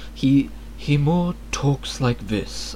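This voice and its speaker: A soft-spoken man growls in a put-on character voice. Background noise is clear. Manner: soft-spoken, unlike a growling Viking.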